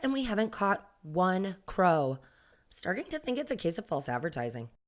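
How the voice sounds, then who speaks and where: A put-on character voice, female-sounding and raspy, at a medium pitch with very wide pitch swings and a moderate pace, on a very clean recording with a silent background. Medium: read story.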